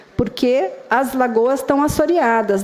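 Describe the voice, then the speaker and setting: Noticeable background noise sits under this voice. A woman speaks at a high pitch. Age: old. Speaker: urban planning consultant. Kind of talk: public hearing presentation. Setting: public hearing with live audience. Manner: halting.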